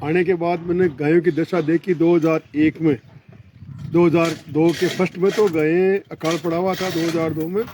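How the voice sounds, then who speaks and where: A man with a high-pitched voice talks at a moderate pace in a flat monotone, with noticeable noise in the background. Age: 70s. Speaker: retired army officer and cow shelter caretaker. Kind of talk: interview.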